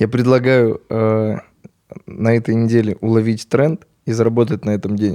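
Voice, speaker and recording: A man with a dark, mellow tone and a medium pitch speaks with long, frequent pauses. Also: moderate pace, very even loudness. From Belarus, Grodno region. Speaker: actor and blogger. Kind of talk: casual interview chat. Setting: studio. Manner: animated.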